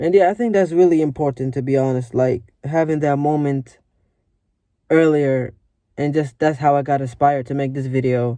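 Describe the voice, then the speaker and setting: A man's fairly high-pitched voice carries a dark, mellow tone and ordinary pitch variation. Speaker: vlogger. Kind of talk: casual motivational monologue. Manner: fast; casual, filler-heavy.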